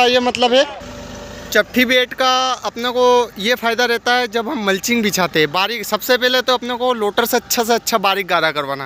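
A man's raised, projected voice at a moderate pace with ordinary pitch variation, dry with no echo, over light background noise. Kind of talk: tutorial. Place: open country. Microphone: phone near.

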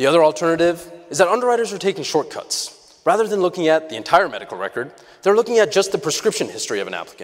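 A high-pitched man races along at a very fast pace with lively intonation and hardly any pauses. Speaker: startup co-founder. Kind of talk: pitch presentation. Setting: stage with audience. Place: stage.

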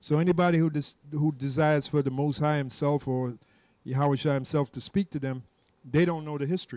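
An unremarkable speaking voice moves at a fairly quick pace with fairly even intonation, dry with no echo over a quiet background. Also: man, fairly high pitch for a man. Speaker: religious teacher. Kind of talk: scripture reading and discussion. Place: home room. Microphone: handheld.

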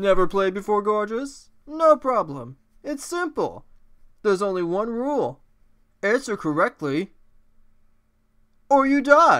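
A man's put-on character voice, high in pitch and fairly slow, on a very clean recording with a silent background. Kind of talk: game show host patter. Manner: flamboyant, theatrical, campy.

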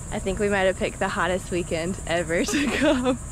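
A woman talks at a fairly quick pace with ordinary pitch variation, the sound dry with no echo and noticeable background noise. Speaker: camping vlogger. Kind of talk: casual vlog chat. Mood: cheerful, relaxed. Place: beach. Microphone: phone near.

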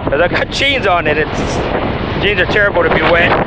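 A man's voice comes through loud background noise. No echo colors the dry sound. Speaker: fishing vlogger. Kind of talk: casual vlog chat. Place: waterside. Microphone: phone near.

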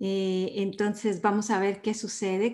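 Speaking very slowly at a medium pitch, a woman has a dark, mellow tone against a quiet background. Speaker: talk show host. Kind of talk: casual talk to camera. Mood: warm, friendly. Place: home room. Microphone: webcam.

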